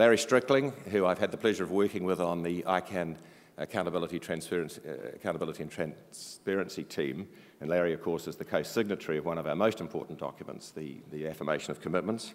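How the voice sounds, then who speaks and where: Very fast speech in a strong New Zealand accent with ordinary pitch variation, on a very clean recording with a silent background. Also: man, very deep, low pitch for a man. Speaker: board chair of an internet organisation. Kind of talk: conference opening speech. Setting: stage with audience. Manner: formal.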